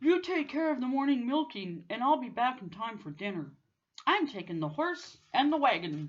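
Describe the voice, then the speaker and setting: In a put-on character voice, a woman speaks high in pitch with very wide pitch swings at a moderate pace over a quiet background. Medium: read story. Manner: insistent.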